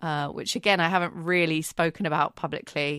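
At a moderate pace, a woman talks in an unremarkable speaking voice with fairly even intonation. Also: quiet background. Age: 30s. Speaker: podcast host. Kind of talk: casual chat.

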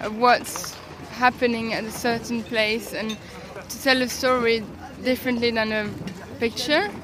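A woman with a fairly high pitch speaks fairly slowly in a flat monotone, taking long, frequent pauses, her loudness swinging widely over noticeable background noise. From Brussels, Belgium. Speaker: illustrator. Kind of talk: street interview. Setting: outdoors at a flea market.

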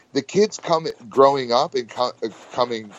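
In an ordinary speaking voice with an American accent, the speaker talks at a fairly slow pace with lively intonation. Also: man. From US, small town. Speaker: pro wrestler. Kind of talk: casual interview chat.

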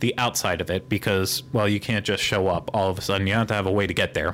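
A man with a Pittsburgh accent speaks in a fairly low pitch, his intonation fairly even. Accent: American, Pittsburgh.

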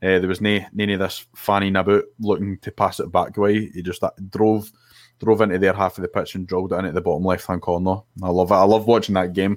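Speaking at a very fast pace, a man with a Scottish accent has a very deep, low pitch and monotone, flat intonation. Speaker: podcast co-host. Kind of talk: casual chat. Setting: remote video call.

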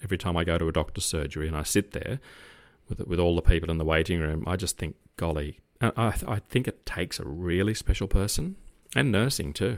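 A man with an Australian accent talks at a very fast pace in a very deep, low voice with ordinary pitch variation, on a very clean recording with a silent background. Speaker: retired police officer. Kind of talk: casual chat.

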